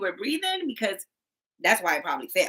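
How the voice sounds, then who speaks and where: Projecting her raised voice, a woman sounds bright and sharp, her pitch swinging very widely. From Caribbean. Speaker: mental health counselor. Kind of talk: casual chat. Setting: livestream.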